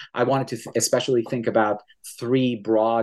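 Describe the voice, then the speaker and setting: A man talks at a fairly quick pace in a plain, everyday voice, his intonation fairly even. The background is quiet. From Iran, Tehran; Canada from age 15. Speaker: professor and author. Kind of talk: interview about his book.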